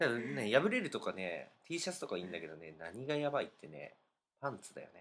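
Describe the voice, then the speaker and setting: A man speaks at a moderate pace. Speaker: podcast co-host. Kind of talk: casual chat.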